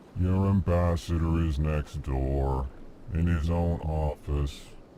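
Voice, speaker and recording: A man's put-on character voice, very deep and low in pitch, at a fairly slow pace, over clear background noise. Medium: video game. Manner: names emotions before speaking, deadpan.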